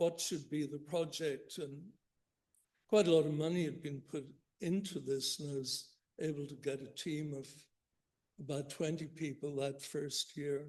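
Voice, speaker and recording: A man with a Northern Irish accent, fairly high pitch and a somewhat breathy voice, at a fairly slow pace with long, frequent pauses. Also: fairly even intonation. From Northern Ireland, Belfast. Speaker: economics professor. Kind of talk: keynote lecture. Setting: conference stage with audience.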